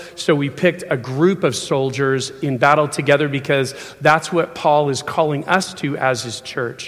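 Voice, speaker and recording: Noticeable background noise runs behind a man speaking at a moderate pace. His pitch is fairly high and his intonation fairly even. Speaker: preacher. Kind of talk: sermon. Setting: church.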